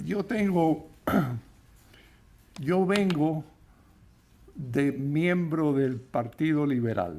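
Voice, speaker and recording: This man speaks at a very slow pace with long, frequent pauses. His voice has a fairly high pitch, lively intonation and a dark, mellow tone. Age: 80s+. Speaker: eyewitness speaker. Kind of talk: panel talk at book launch. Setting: event with audience, microphone.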